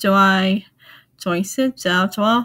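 A woman speaks at a fairly slow pace in a somewhat breathy voice. Her pitch variation is ordinary. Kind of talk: casual talk to camera.

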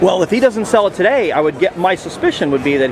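Very wide pitch swings mark a man's very fast speech. The sound is dry with no echo, though background noise is noticeable. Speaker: homeowner at a foreclosure auction. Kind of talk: casual conversation about a foreclosure auction. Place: street. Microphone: phone near.

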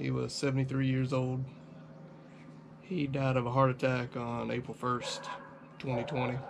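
A man speaks at a moderate pace in a monotone, his intonation flat. Light background noise sits behind him. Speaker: car vlogger. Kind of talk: personal vlog talk about a loss. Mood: somber, grieving. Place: home room. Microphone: camera far.

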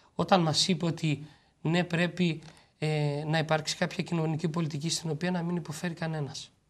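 This man speaks at a fairly quick pace. His intonation stays fairly even. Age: 30s. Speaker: president of a large-family federation; guest. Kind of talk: TV interview; interview answer. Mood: earnest, advocating. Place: studio.

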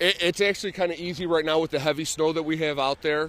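A man speaks with fairly even intonation over light background noise, the sound dry with no echo. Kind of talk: interview answer. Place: waterside. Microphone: handheld.

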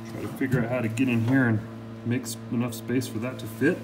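A man talks with music playing in the background. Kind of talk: casual tutorial commentary. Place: garage. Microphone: phone near.

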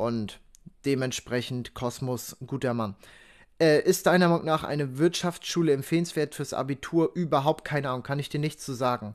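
A man speaks at a moderate pace in a fairly high voice with ordinary pitch variation against a quiet background. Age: 20s. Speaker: crypto content creator and student; crypto content creator. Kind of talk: casual livestream chat. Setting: livestream. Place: home room. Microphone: studio mic.

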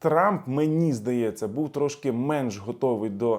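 A man talks in a plain, everyday voice with lively intonation at a fairly slow pace. The recording is very clean, with a silent background. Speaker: political analyst and YouTube blogger. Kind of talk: video commentary. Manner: casual, filler-heavy.

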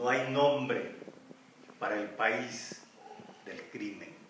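A man speaks at a very slow pace with fairly even intonation, with audible room echo and noticeable background noise. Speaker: poet. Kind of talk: poem performed, solemn reading aloud of a protest elegy. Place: garden. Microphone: camera far.

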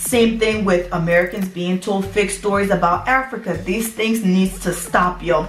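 In an animated tone, a woman speaks at a moderate pace with hardly any pauses. Audible room echo and faint background music accompany her. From Liberia. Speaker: YouTuber; vlogger. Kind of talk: storytime vlog. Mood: emotional, earnest storytelling. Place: home room. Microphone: phone near.

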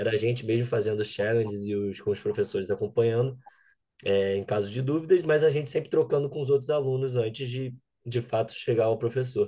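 Somewhat breathy speech with a dark, mellow tone, ordinary pitch variation, and fairly quick pace over a quiet background. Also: man, medium pitch for a man. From Brazil, Rio de Janeiro. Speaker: data scientist, bootcamp alumnus. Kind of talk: interview.

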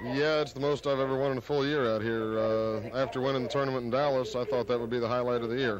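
Very fast speech with fairly even intonation comes through a dry sound with no echo over noticeable background noise. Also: man. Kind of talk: interview answer. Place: hall. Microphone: handheld.

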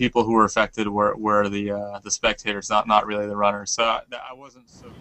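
This man's voice sits at a fairly low pitch. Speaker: amateur triathlete and marathon runner. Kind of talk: news interview, eyewitness reaction. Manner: halting, full of repetitions and false starts; emotional, searching for words.

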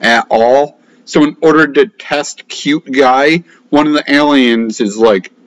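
Over a quiet background, the speech moves at a fairly slow pace with fairly even intonation. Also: man. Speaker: film reviewer. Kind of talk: casual movie review chat. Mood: sardonic, mildly annoyed. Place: home room. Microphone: webcam.

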